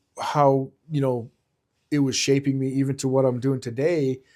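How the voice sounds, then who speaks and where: A man talks at a fairly slow pace with a medium pitch. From Israel. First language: Hebrew. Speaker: security consultant. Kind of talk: interview. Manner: halting, many fillers and repeats.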